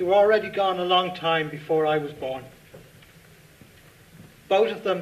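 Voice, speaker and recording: This man has a high pitch and an Irish accent, speaking at a moderate pace with ordinary pitch variation. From Dublin, Ireland. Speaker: writer. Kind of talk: reading of own short story at live event. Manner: reflective, measured. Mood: earnest, reflective, solemn. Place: stage.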